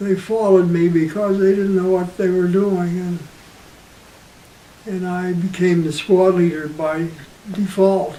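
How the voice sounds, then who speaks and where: A man with an American accent talks at a high pitch and fairly slow pace with monotone, flat intonation and long, frequent pauses, amid audible room echo and noticeable background noise. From US, western Pennsylvania. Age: 80s+. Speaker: war veteran. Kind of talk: oral history interview. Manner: halting.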